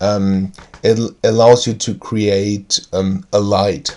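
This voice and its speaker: A man with a German accent speaks at a very slow pace, his fairly low pitch carrying a dark, mellow tone. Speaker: tabletop game video creator. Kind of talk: tutorial. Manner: halting, many fillers.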